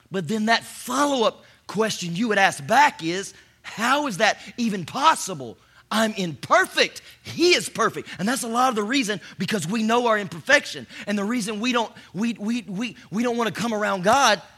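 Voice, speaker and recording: Raising and projecting his voice, a man speaks at a moderate pace in a high pitch, with lively intonation and an animated tone. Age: 40s. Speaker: pastor. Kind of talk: sermon. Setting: church stage with audience.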